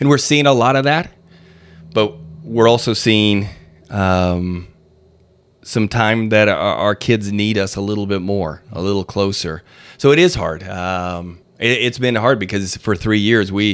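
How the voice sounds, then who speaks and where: Using an ordinary speaking voice, a man speaks at a fairly slow pace and fairly low pitch with ordinary pitch variation on a very clean recording with a silent background. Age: 50s. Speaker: school superintendent. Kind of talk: interview.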